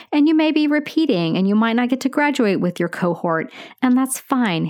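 A woman's warm, upbeat voice at a fairly quick pace, with very wide pitch swings over a quiet background. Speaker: nurse educator podcaster. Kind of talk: educational podcast monologue. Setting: podcast, solo.

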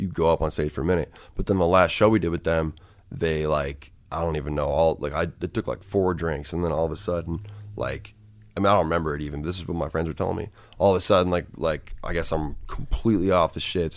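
A man's very deep, low voice at a very fast pace with fairly even intonation, on a very clean recording with a silent background. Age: 20s. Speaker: rapper. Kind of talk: casual chat.

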